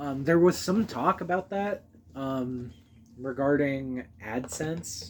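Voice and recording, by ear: A man talks at a slow pace and a medium pitch. His pitch varies in an ordinary way.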